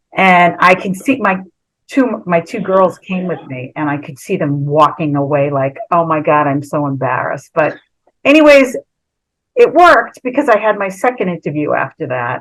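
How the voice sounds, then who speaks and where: At a moderate pace, a woman talks in a fairly low pitch with very wide pitch swings. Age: 60s. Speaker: former reality show contestant. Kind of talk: storytelling on a video call. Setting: video call. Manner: casual, chatty.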